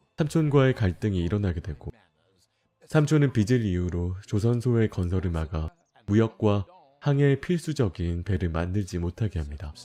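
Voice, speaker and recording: Speaking at a moderate pace, a man has a fairly low voice with a dark, mellow tone. He sounds calm, and his intonation is lively. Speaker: game streamer. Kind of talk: game story narration.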